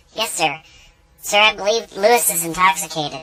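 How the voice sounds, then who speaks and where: The voice is a put-on character voice at a middle pitch. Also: moderate pace. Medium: machinima. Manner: formal, flat.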